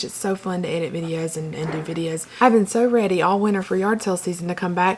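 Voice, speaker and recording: There is clear background noise. A woman talks through it. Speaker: reseller YouTuber. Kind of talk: casual vlog talk. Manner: hesitant, many fillers.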